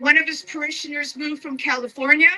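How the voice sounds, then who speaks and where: Against noticeable background noise, a woman uses a raised, projected voice with ordinary pitch variation. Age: 70s. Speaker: protester speaking at rally. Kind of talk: rally speech.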